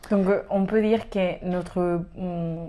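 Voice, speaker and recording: This woman speaks with a Spanish accent at a medium pitch. Her intonation is monotone and flat. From Spain. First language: Spanish (speaking French). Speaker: podcast co-host, European solidarity volunteer. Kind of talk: casual chat. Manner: halting, non-native.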